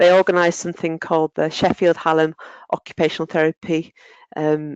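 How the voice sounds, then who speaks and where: In a northern English accent, a woman speaks with monotone, flat intonation at a moderate pace, the sound dry and close with no echo. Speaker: occupational therapist and lecturer. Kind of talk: webinar presentation.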